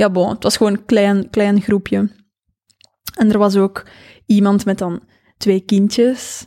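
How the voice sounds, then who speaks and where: In a Flemish accent, a woman speaks at a fairly slow pace with a medium pitch and a dark, mellow tone. The recording is very clean, with a silent background. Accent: Flemish Dutch. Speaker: author and business owner. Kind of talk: casual chat.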